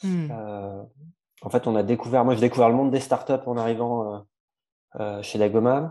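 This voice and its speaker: Dark, mellow male tone over a quiet background. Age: 30s. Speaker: startup co-founder. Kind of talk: interview. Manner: hesitant, many fillers.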